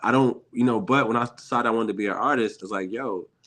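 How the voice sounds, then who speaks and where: A man speaks very fast with an American accent. His pitch is medium. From New Jersey, Newark. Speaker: rapper. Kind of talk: interview. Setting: live stream. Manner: halting, repetitive.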